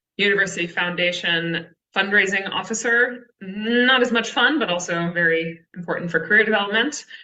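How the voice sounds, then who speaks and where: A woman with a Texan accent and ordinary pitch variation. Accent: Texan American. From Texas. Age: 30s. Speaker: conservation communications writer. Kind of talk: presentation.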